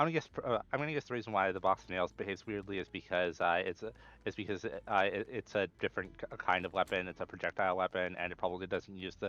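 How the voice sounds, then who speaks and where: A man at a very fast pace, fairly low in pitch, with ordinary pitch variation and hardly any pauses. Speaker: gaming youtuber / modder. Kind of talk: unscripted gameplay commentary. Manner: halting, many fillers and repetitions.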